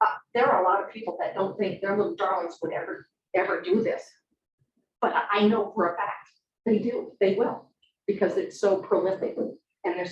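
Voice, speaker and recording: A woman speaks at a fairly quick pace. Her speech has long, frequent pauses. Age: 60s. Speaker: public commenter at school board meeting. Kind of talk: public comment. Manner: halting, many repetitions.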